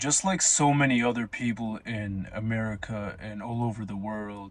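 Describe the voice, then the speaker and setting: This man has a plain, everyday voice of medium pitch. He talks at a fairly slow pace. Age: 20s. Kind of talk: casual monologue to camera.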